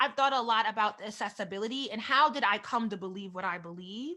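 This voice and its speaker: Her voice sits at a fairly high pitch with ordinary pitch variation. The woman's tone is bright and sharp. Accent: East Coast American. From US East Coast, Delaware. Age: 30s. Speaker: author and vlogger. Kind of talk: keynote talk. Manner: fast.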